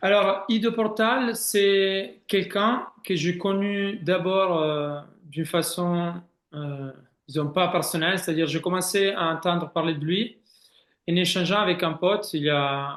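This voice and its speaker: The speaker uses an Italian accent, a very slow pace and ordinary pitch variation. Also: man, high pitch for a man. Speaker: swimming head coach. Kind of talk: interview answer.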